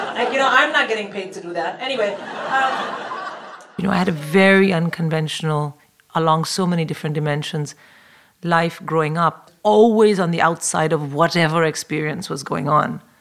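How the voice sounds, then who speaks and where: A fairly low-pitched woman at a moderate pace, with ordinary pitch variation and noticeable background noise. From South India. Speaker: stand-up comedian. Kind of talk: interview.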